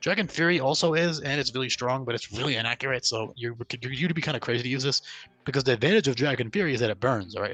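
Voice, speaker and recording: Bright and sharp in tone, a man's medium-pitched voice races at a very fast pace with ordinary pitch variation. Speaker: ROM hack developer explaining his game. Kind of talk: game commentary tutorial. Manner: casual with filler words.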